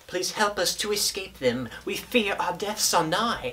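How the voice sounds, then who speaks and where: A croaky, put-on character voice at middle pitch and a moderate pace. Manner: pleading, fearful.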